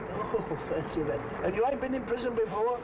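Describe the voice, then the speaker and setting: A man talks over noticeable background noise. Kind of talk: dramatic dialogue, anecdote telling. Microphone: old recording.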